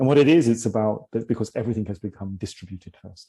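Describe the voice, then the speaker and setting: A man with a British accent speaks in a dark, mellow tone against a quiet background. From London, England. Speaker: leadership coach and tech CEO. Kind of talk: interview. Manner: hesitant, many fillers.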